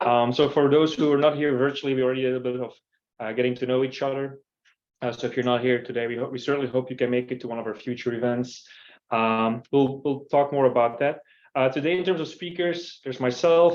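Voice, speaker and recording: A man at a medium pitch and a very fast pace, with a Belgian accent. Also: fairly even intonation. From Belgium. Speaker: company CEO and user group host. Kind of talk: event welcome and presentation. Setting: in-person meetup streamed to a call. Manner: hesitant, many fillers.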